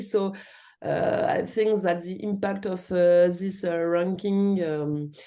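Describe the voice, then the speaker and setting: With audible room echo, a woman speaks in a French accent. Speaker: university researcher. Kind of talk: lecture Q&A. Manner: halting, many fillers.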